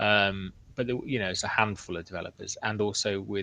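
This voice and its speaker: A man with an English accent speaks at a fairly low pitch with fairly even intonation. His tone is bright and sharp. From England. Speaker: open-source flight controller software developer. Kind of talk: casual chat.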